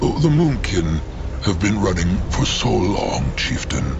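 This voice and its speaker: Against loud background noise, a man uses a put-on character voice with a very deep, low pitch at a fairly slow pace. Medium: machinima. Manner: speaks of himself in third person.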